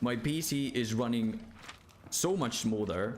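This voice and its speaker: A man with a non-native accent speaks at a medium pitch with ordinary pitch variation, audible room echo around him. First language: not English. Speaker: gaming streamer. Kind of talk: casual live gaming stream. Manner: animated.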